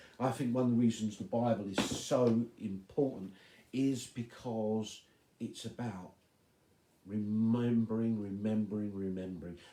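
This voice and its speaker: Soft-spoken and dark, mellow in tone, a man with a medium pitch talks at a moderate pace with ordinary pitch variation. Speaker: pastor. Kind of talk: devotional talk.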